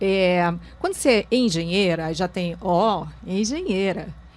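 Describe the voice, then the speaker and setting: A woman talks at a fairly slow pace in a medium pitch, with an unremarkable speaking voice. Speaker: talk show host. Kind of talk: talk show interview.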